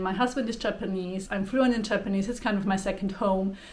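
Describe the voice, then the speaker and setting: A woman speaks with a Swiss German accent at a fairly quick pace. Her medium pitch shows ordinary variation, with audible room echo. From Switzerland. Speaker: spiritual YouTuber. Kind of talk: casual vlog introduction.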